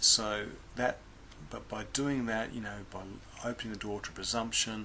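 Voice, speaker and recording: The voice is quiet and moves at a moderate pace. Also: man. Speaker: Bible teacher. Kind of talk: Bible lesson talk. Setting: indoors, others asleep next door. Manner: speaking very quietly; halting, many fillers.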